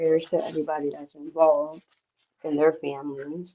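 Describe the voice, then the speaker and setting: The woman's voice is very deep and low. Its tone is dark and mellow. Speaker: livestream host. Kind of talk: casual livestream talk.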